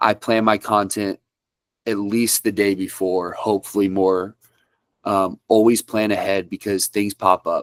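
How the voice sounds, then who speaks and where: Dry and close with no echo, a man speaks at a fairly slow pace and fairly low pitch in a monotone, flat way. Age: 20s. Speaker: country music artist. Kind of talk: interview.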